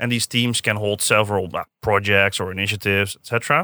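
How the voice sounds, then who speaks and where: A man speaks with a Dutch accent in a bright, sharp tone. The recording is very clean with a silent background and a dry, close sound with no echo. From Netherlands, Zeist near Utrecht. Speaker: design director. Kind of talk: podcast interview. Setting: studio.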